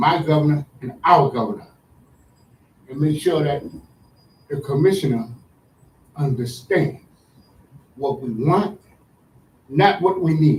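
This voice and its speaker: In a fairly high, somewhat breathy voice, a man talks at a fairly slow pace with ordinary pitch variation and long, frequent pauses. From Providence, Rhode Island. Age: 70s. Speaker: public commenter. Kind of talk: public comment at a meeting. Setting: school board meeting.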